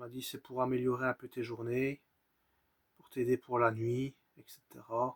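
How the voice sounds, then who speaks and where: A man speaks at medium pitch and a fairly slow pace, in a monotone, flat intonation. The sound is dry and close, with no echo. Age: 30s. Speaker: vlogger sharing personal mental health story. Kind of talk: personal testimony. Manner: halting.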